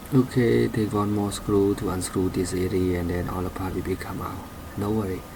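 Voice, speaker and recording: Speaking with a non-native accent, a man uses a very deep, low voice with ordinary pitch variation. The room echo can be heard. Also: moderate pace. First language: not English. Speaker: car repair hobbyist. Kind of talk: tutorial. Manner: halting.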